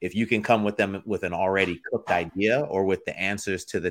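An unremarkable speaking voice from a man, fairly low in pitch, at a moderate pace on a very clean recording with a silent background. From Florida, born in the Bronx, New York. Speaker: footwear designer and entrepreneur. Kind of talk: interview.

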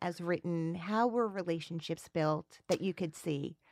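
Lively intonation and an American accent come through on a very clean recording with a silent background. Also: woman. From New Jersey. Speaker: podcast host. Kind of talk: scripted narration; interview.

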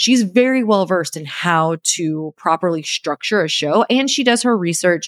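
Lively intonation and an upbeat, enthusiastic tone come through a very clean recording with a silent background and a dry, close sound with no echo. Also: woman. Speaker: podcast host and podcast manager. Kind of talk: solo podcast episode giving tips. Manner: fast talker.

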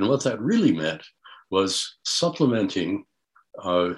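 Speaking in a fairly low register, this man has an American accent. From US, central New York State. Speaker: retired professor and retina researcher. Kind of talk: interview.

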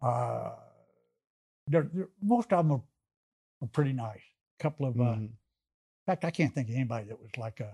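A man talks at a fairly quick pace and medium pitch in a dark, mellow, somewhat breathy tone, his intonation lively and his loudness swinging widely. He leaves long, frequent pauses, and the sound is dry and close with no echo. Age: 70s. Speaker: stand-up comedian. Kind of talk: casual chat.

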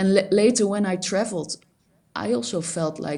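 Speaking with a Dutch accent, a woman uses ordinary pitch variation. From Netherlands, Amsterdam. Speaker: graphic designer. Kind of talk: interview. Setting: remote call. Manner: halting.

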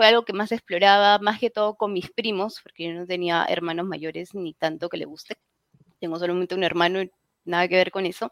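A woman's plain, everyday voice at a medium pitch, fairly quick and with fairly even intonation, big swings in loudness and a dry, close sound with no echo. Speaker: fan website editor. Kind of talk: casual chat.

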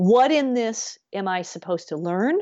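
A woman with a US Midwestern accent, fairly high in pitch, with very wide pitch swings. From US Midwest, Grand Rapids, Michigan. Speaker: business coach and radio host. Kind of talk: interview conversation. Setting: remote or studio podcast recording, not video.

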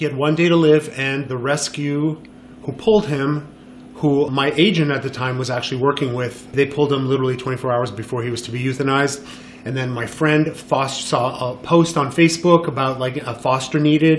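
A man speaks at a fairly quick pace and fairly high pitch with fairly even intonation, over noticeable background noise. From Montreal, Quebec. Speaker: photographer. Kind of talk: interview. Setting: studio.

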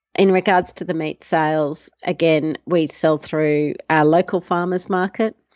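With an Australian accent, a woman speaks at a very deep, low pitch. She talks fairly slowly with ordinary pitch variation. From Australia, Melbourne. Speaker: farmer and emergency doctor. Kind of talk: interview.

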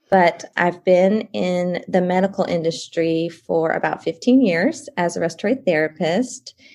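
A woman speaks with a Southern US accent at a moderate pace. Her medium pitch shows ordinary variation. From Columbia, South Carolina. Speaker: guest, homeschooling mom and CBD consultant. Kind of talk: casual interview chat.

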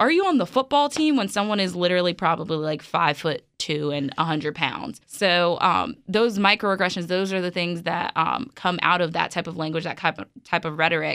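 A woman talks at a moderate pace with hardly any pauses, in a normal speaking voice. Her pitch is fairly low with ordinary variation, and the recording is very clean with a silent background. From New York City, Brooklyn. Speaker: college student and student newspaper editor. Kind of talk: casual chat.

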